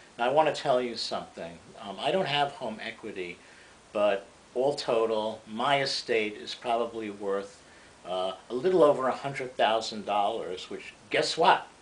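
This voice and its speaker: A man talks at a moderate pace and medium pitch with ordinary pitch variation. His loudness swings widely over noticeable background noise. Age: 60s. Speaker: economics commentator. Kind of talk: lecture. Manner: halting.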